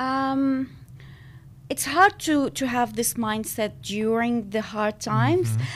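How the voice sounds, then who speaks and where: In an Arabic accent, a woman speaks at a fairly slow pace with a fairly high pitch. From Syria. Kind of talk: interview conversation. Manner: hesitant, many fillers.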